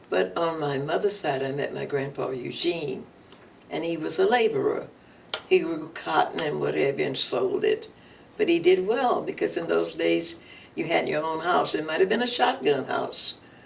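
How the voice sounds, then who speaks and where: A woman with an American accent speaks at a moderate pace over noticeable background noise. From East Texas, Nacogdoches. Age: 80s+. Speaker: retired educator. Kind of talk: oral history interview. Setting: radio studio.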